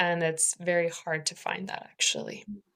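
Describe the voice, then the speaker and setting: Over a very clean recording with a silent background, a woman speaks at a moderate pace with a fairly low pitch. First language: not English. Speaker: panel guest, mentorship ambassador. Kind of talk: casual panel conversation. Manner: hesitant, self-correcting.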